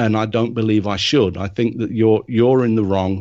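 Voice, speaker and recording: This man has a British accent and a medium pitch. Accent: non-Japanese, British. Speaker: nature and wildlife photographer. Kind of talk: interview.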